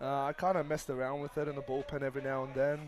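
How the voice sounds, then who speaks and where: A man with an Australian accent talks fairly quickly at a fairly high pitch. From Australia, Sydney. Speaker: college baseball pitcher. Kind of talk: live broadcast interview.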